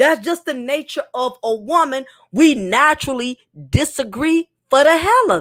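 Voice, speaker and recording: A woman with a high pitch talks at a moderate pace in an animated tone, with lively intonation and big swings in loudness. The recording is very clean, with a silent background. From New York. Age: 40s. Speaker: YouTuber. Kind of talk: live chat monologue.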